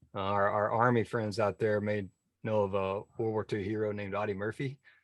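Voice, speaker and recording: Against a quiet background, a man with an American accent speaks in a fairly low, monotone, flat voice, the sound dry and close with no echo. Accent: Texas drawl, comes out now and then. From Northeast Texas. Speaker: navy officer, military transition expert. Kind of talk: interview. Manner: halting, repeats words.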